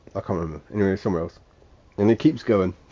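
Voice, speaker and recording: In a Suffolk accent, a man speaks at a fairly quick pace. His fairly low voice carries a dark, mellow tone. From Suffolk, England. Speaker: gaming streamer. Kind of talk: casual talk to camera, live stream chatter.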